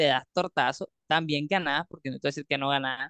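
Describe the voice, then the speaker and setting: This man has an ordinary speaking voice at a fairly high pitch. He speaks at a moderate pace with ordinary pitch variation. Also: dry, close sound with no echo. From Nicaragua. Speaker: crypto community leader. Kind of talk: interview. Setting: remote call.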